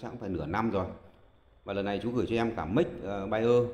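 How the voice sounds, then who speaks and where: A man speaks at a medium pitch, with audible room echo. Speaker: karaoke audio technician. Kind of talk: tutorial. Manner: hesitant, many filler sounds.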